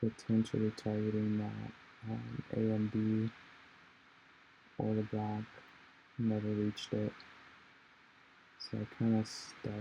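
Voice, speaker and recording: A man's fairly low, dark, mellow voice, somewhat breathy and monotone, at a very slow pace with long, frequent pauses. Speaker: day trader. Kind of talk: trading recap voiceover.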